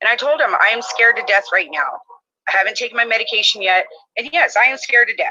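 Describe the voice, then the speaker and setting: Loud and high in pitch, a woman speaks at a very fast pace. Her intonation is lively. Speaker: mother describing her arrest. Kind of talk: testimony. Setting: live stream.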